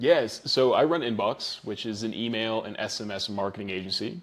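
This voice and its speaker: Speaking at a moderate pace, a man with an American accent has an unremarkable speaking voice at medium pitch. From New Zealand. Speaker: email marketing agency owner. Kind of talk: interview.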